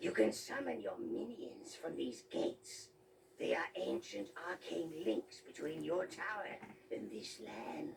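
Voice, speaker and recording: Using a put-on character voice, a man speaks at a fairly slow pace with clear background noise behind him. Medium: video game. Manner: obsequious, sarcastic.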